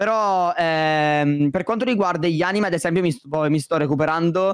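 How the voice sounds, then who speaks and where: A man speaks with a dry sound with no echo against a quiet background. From Sicily, Palermo; Sicily. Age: 20s. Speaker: YouTuber. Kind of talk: casual chat. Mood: relaxed, chatty. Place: home room. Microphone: studio mic.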